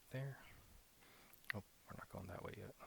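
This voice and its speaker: A man whispers in a relaxed tone. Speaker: ASMR gaming YouTuber. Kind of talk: casual gaming commentary, ASMR. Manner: soft-spoken, relaxed.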